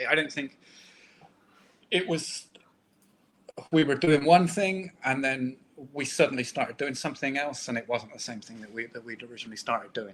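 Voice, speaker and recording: With a Bristolian accent, a man speaks at a moderate pace and varies his pitch in an ordinary way. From Bristol, England. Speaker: comic book artist. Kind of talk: casual interview chat. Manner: halting.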